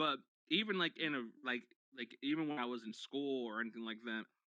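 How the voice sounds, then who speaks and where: This man speaks at a medium pitch. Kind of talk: casual chat. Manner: loud.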